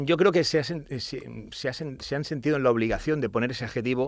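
Moderate-paced male speech, very cleanly recorded against a silent background. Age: 40s. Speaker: natural bodybuilding champion. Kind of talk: casual chat. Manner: halting.

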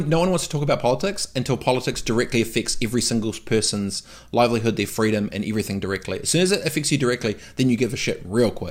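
In a very clean recording with a silent background, a man with a New Zealand accent speaks very fast at medium pitch with lively intonation. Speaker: entrepreneur. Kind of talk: casual interview chat. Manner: animated.

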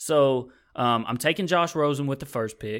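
This man's voice comes through on a very clean recording, with silence in the background. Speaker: podcast host. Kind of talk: casual sports talk. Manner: chatty.

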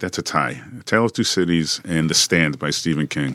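A man speaks at a fairly quick pace in a very deep, low pitch, with vocal fry. His pitch swings very widely, and his tone is bright and sharp. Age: 50s. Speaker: personal trainer and gym owner. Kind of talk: casual chat.

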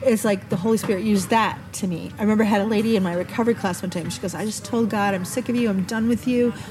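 A woman speaks very fast at a medium pitch, with hardly any pauses. Her intonation is fairly even, and there is noticeable background noise. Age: 50s. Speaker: podcast host. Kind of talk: casual chat. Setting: outdoors.

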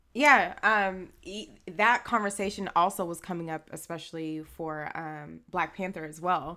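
With an American accent, a woman speaks at a fairly slow pace in a fairly low pitch, her bright, sharp tone showing ordinary pitch variation on a very clean recording with a silent background. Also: big swings in loudness. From Haitian American, US. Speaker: podcast co-host. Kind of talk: casual chat.

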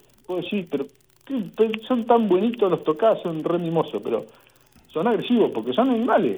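The speaker moves at a fairly quick pace with lively intonation and long, frequent pauses. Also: man, high pitch for a man. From Argentina, Saladillo, Buenos Aires province. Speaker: veterinarian and pig farmer. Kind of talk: interview.

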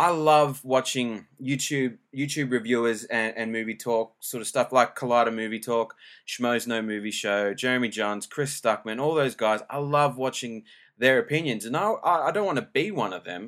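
A man with an Australian accent talks at a moderate pace and medium pitch, his pitch variation ordinary, on a very clean recording with a silent background. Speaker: podcaster. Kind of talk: casual solo podcast monologue. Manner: casual, informal, hesitant with filler words.

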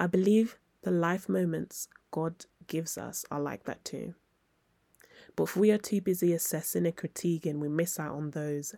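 A woman speaks in a dark, mellow tone at a fairly low pitch, with long, frequent pauses. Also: ordinary pitch variation, moderate pace, very clean recording, silent background. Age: 20s. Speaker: podcast host and journalist. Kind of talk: casual chat; reading aloud.

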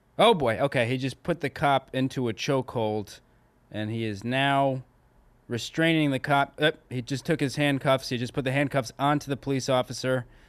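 Against a quiet background, a man speaks in a normal speaking voice at a moderate pace, with a medium pitch and fairly even intonation. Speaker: comedian. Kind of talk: casual chat.

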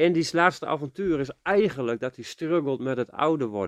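In a normal speaking voice, a fairly high-pitched man talks at a moderate pace with lively intonation, the sound dry and close with no echo over a quiet background. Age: 40s. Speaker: podcast co-host. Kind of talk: casual chat.

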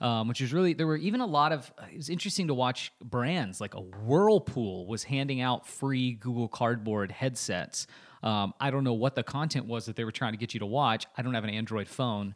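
A man in a plain, everyday voice talks at a fairly quick pace and medium pitch, with hardly any pauses. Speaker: podcast host, social media agency founder. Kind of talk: casual chat.

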